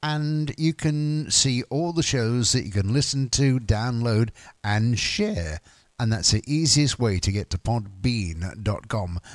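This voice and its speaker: Speaking at a very slow pace with a British accent and lively intonation, the voice has a dry, close sound with no echo in a very clean recording against a silent background. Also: man, medium pitch for a man. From UK. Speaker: radio DJ. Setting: radio studio. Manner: relaxed, rambling, frequent uh and um fillers; jokey and giggly, laughs at his own quirky news asides.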